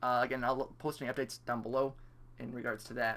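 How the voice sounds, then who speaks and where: A man talks at a very fast pace. His tone is bright and sharp. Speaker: gaming youtuber. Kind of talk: gameplay tutorial commentary.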